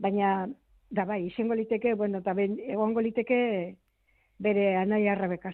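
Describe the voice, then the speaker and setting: A woman speaks at medium pitch with fairly even intonation and very even loudness in a plain, everyday voice. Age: 60s. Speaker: relative of missing civil war soldier. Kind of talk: radio interview.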